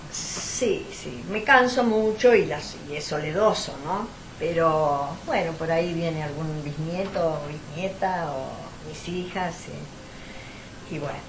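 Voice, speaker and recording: Very slow speech in an Argentine accent, with lively intonation and big swings in loudness, plus noticeable background noise and audible room echo. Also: woman. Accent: Argentine Spanish (Rioplatense). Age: 70s. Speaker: historian. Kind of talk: interview. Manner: halting, with many repetitions.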